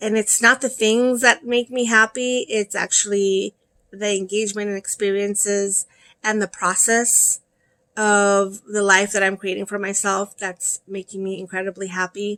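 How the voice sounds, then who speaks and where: A woman's medium-pitched voice with an American accent, bright and sharp in tone, monotone and flat in intonation, at a moderate pace, in a dry, close sound with no echo. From El Salvador, moved to US at eight. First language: Spanish. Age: 50s. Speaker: crochet vlogger. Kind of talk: casual vlog talk to viewers.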